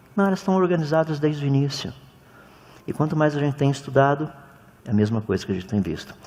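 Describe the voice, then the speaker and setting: Talking at a very fast pace yet with long, frequent pauses, a man uses a fairly high pitch and lively intonation over noticeable background noise. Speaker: creationist lecturer. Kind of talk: lecture. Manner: animated.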